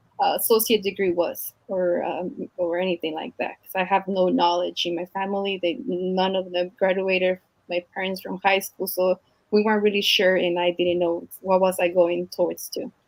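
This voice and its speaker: In a Mexican accent, a woman speaks with monotone, flat intonation. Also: medium pitch for a woman, moderate pace. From Mexico, Michoacan. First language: Spanish. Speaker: teacher. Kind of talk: interview. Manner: halting.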